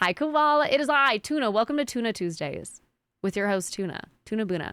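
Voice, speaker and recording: A woman talks at a fairly quick pace and fairly high pitch. Her pitch swings very wide on a very clean recording with a silent background. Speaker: streamer. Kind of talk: casual chat. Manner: fast.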